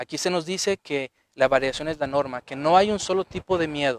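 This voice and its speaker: The sound is dry and close with no echo. A man talks at a fairly high pitch with ordinary pitch variation. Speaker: psychologist and author giving a lecture. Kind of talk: lecture. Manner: fast.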